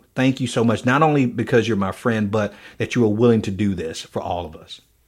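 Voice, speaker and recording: On a very clean recording with a silent background, a man speaks at a fairly quick pace. His is an unremarkable speaking voice, medium in pitch with ordinary pitch variation. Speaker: podcast host. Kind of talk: casual interview.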